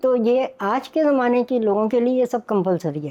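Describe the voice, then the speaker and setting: Her tone is dark and mellow, though the woman's voice sits high in pitch. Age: 80s+. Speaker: home cook and food content creator. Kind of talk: interview answer.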